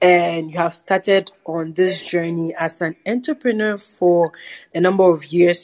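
At a fairly slow pace, a woman uses a normal speaking voice with a fairly low pitch and fairly even intonation, recorded with a dry, close sound with no echo. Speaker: podcast host. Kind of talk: casual interview.

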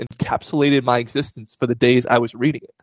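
Fairly quick and at medium pitch, a man talks in an unremarkable speaking voice with a dry, close sound and no echo. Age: 20s. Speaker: podcast host. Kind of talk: solo monologue. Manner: casual, with frequent fillers.

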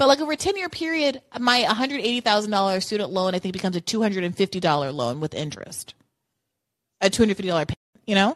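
Over a quiet background, a woman of medium pitch speaks in an animated tone with very wide pitch swings, the sound dry and close with no echo. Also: moderate pace. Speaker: political podcast host. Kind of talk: live call-in show chat. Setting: live call-in app broadcast.

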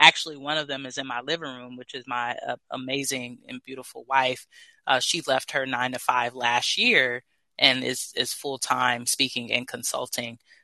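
Over a quiet background, a man speaks at a moderate pace with monotone, flat intonation. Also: medium pitch for a man, big swings in loudness. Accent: American. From US West Coast, Los Angeles. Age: 30s. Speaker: public speaking coach. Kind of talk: interview. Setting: live audio app.

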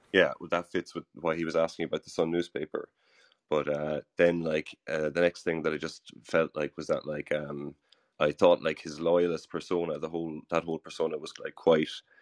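In an Irish accent, a man with a very deep, low pitch speaks at a moderate pace in a monotone, flat intonation, recorded with a dry, close sound and no echo. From Republic of Ireland. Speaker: caller. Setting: phone call.

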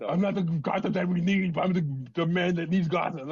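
In a put-on character voice, a man growls at a moderate pace, gruff and high in pitch.

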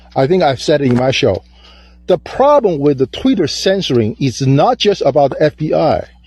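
With a Chinese accent, a man talks at a moderate pace with very wide pitch swings, the sound dry and close with no echo. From China. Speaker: caller, hospital employee. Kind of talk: call-in debate.

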